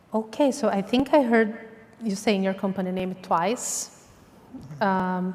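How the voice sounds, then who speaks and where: Long, frequent pauses in a woman's fairly slow, medium-pitched speech with ordinary pitch variation. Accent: non-native. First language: not English. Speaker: pitch competition judge. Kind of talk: judge feedback. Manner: hesitant.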